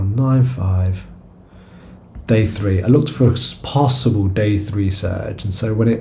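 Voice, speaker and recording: A man with a British accent at a fairly slow pace and fairly low pitch, with audible room echo. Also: ordinary pitch variation. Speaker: stock trader and video creator. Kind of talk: trading chart review. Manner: halting, many fillers and repeated words; casual.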